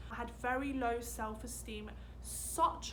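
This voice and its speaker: The clip has audible room echo along with noticeable background noise. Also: woman. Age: 20s. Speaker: lifestyle vlogger. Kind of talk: casual chat.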